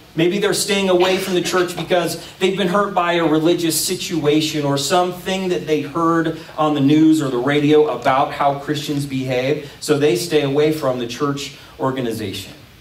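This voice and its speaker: A man talking with hardly any pauses, ordinary pitch variation, and audible room echo. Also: moderate pace. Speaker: pastor. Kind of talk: sermon. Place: stage.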